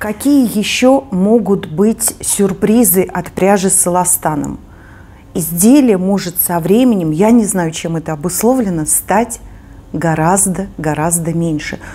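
At a very slow pace, a woman talks, her pitch varying in an ordinary way. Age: 50s. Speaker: knitting video blogger. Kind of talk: casual chat; tutorial. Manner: conversational with hesitations. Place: home room.

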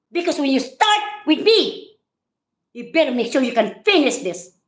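Her pitch swinging very widely, a woman speaks at a fairly slow pace, with audible room echo in a quiet background. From Philippines. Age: 60s. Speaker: vlogger. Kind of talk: live stream rant. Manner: animated. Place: home room. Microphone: phone near.

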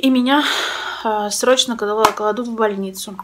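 A woman speaks with ordinary pitch variation. Background noise is noticeable. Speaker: vlogger sharing personal news. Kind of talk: casual vlog chat. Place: home room. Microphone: phone near.

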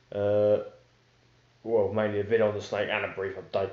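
Audible room echo surrounds a man speaking at a moderate pace with a fairly low pitch.

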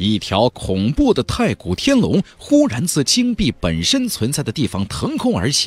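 A man speaks at a medium pitch with a slightly husky edge. His pitch swings very wide at a moderate pace.

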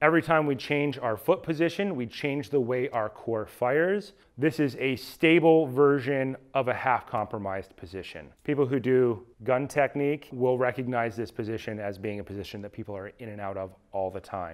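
A man talks at a moderate pace with hardly any pauses and big swings in loudness. The background is quiet. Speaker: fitness coach. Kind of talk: tutorial. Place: gym.

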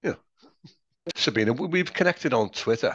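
A man at a fairly quick pace with very wide pitch swings, in a dry sound with no echo. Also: quiet background. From Liverpool, England. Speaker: interviewer; interviewer, host. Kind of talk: casual chat. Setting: video call. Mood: friendly, smiling.

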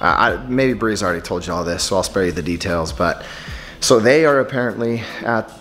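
Faint music sits in the background while a man speaks fairly quickly. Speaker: family vlogger. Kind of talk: casual vlog chat. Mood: worried, subdued. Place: home room. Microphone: phone near.

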